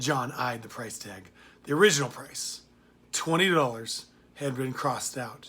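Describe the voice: Ordinary pitch variation in plain reading aloud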